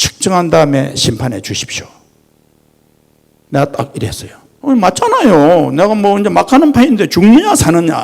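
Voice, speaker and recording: A man with a Gyeongsang accent talks at a moderate pace, stopping often for long pauses. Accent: Gyeongsang dialect Korean. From Gyeongsang region, South Korea. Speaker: company chairman, guest lecturer. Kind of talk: lecture. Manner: animated.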